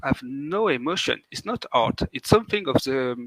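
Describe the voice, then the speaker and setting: A man speaks with a French accent and a fairly high pitch. His pitch varies in an ordinary way. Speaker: indie game developer. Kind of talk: interview. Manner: halting; animated.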